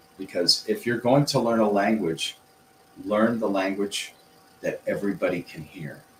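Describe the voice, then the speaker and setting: With an American accent, a man speaks at a fairly low pitch with ordinary pitch variation and big swings in loudness. Noticeable background noise is present. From US Midwest. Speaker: English teacher. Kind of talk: livestream lesson. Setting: livestream. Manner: clear, deliberate intonation.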